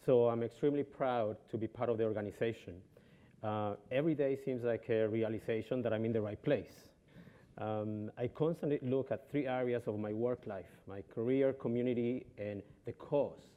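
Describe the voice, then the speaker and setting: A man speaks in a Colombian accent at a moderate pace. His pitch is medium and his intonation fairly even. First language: Spanish. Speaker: travel company executive. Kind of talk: panel discussion. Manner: halting, many fillers.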